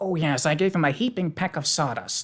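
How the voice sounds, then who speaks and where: Someone uses a put-on character voice at a middle pitch, talking at a fairly quick pace. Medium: read story. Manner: nervous, deferential.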